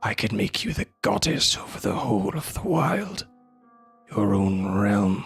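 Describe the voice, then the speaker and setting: A man whispers in a raspy, put-on character voice at a fairly slow pace. Faint music plays in the background. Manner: whispering, tempting.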